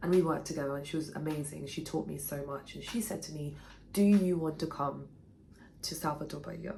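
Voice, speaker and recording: Amid noticeable background noise and audible room echo, a woman with a very deep, low pitch talks at a fairly quick pace with fairly even intonation and big swings in loudness. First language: Portuguese. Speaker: writer and former actor. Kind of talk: personal storytelling vlog.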